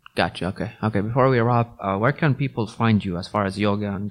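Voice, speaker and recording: Very fast speech over a quiet background. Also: man. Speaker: podcast host. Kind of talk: casual interview chat. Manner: code-switching between Arabic and English.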